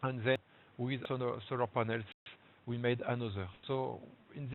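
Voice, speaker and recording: Speaking at a fairly slow pace, a man talks with a strong French accent. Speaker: local government energy officer. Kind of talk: webinar presentation. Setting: online webinar. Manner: halting, many fillers.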